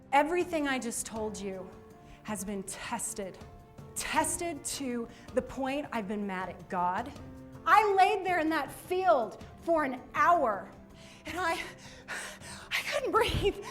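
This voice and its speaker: Pitched high with very wide pitch swings and big swings in loudness, a woman speaks at a very slow pace while music plays in the background. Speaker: motivational speaker. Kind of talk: motivational speech to a school audience.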